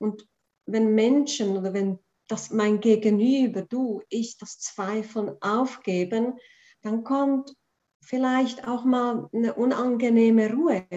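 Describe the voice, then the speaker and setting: A woman speaks at a very slow pace with a Swiss accent. Her pitch is fairly high. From Prague, then Switzerland from age nine. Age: 40s. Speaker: spiritual coach. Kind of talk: casual interview.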